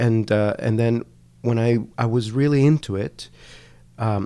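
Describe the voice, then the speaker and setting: Someone with a Spanish accent talks at a moderate pace with ordinary pitch variation. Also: man. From Colombia, Cali. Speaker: language education researcher. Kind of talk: interview conversation. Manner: halting, many fillers.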